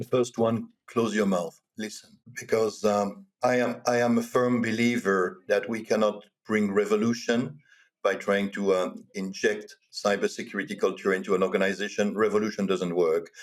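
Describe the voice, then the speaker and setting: A man talks at a moderate pace in a fairly low pitch. He has a Walloon accent. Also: fairly even intonation. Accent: French-speaking Belgian. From Belgium (French-speaking). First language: French. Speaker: cybersecurity executive. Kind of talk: podcast interview.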